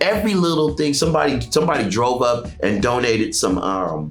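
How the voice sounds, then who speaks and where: Loud and animated, a man at a medium pitch swings very widely in pitch, with music in the background and audible room echo. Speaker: youth program founder and former school principal. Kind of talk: casual interview chat.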